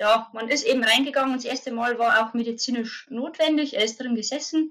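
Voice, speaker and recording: In a bright, sharp tone, a woman speaks at a high pitch in a raised, projected voice with ordinary pitch variation. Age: 30s. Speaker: mother sharing birth experience. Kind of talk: interview testimony. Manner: halting.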